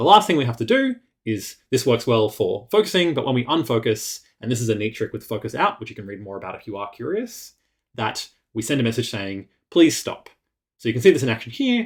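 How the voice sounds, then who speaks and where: Talking fairly quickly, a man uses lively intonation at a medium pitch, somewhat breathy and with big swings in loudness. The recording is very clean with a silent background. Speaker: web developer. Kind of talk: tutorial. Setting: screencast. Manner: fast.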